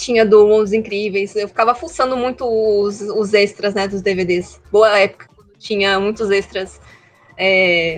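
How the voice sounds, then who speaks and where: With music in the background, a woman speaks in a São Paulo accent with fairly even intonation. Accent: Paulistano Brazilian Portuguese. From Brazil, São Paulo city. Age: 20s. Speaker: animator. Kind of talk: casual interview. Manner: halting, many restarts.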